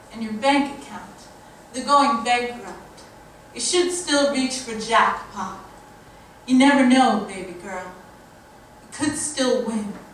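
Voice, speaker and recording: A woman with a high pitch speaks at a very slow pace, with long, frequent pauses and lively intonation. Her loudness swings widely, and noticeable background noise is present. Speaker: poet. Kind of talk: spoken word poetry performance. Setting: live stage.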